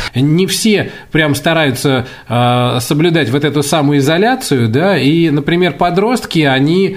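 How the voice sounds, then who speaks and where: Heard through noticeable background noise and audible room echo, a man talks at a fairly high pitch with ordinary pitch variation. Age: 40s. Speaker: radio host. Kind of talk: casual chat. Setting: recording at home during self-isolation. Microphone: poor sound quality.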